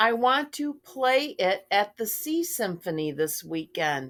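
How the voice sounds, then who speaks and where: Putting on a character voice in a fairly high pitch, a woman speaks at a fairly slow pace with very wide pitch swings. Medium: read story. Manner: gushing.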